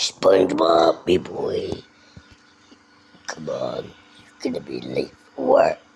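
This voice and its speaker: A man uses a raspy, put-on character voice. He goes at a very slow pace with long, frequent pauses. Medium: machinima. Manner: bossy, gruff.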